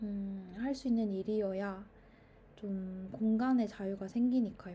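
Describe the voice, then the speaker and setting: A woman speaks at a very slow pace and a medium pitch. Her voice is somewhat breathy, with a dark, mellow tone. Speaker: YouTuber. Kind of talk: casual monologue. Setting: recording at mother's home. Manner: stream of consciousness, with fillers.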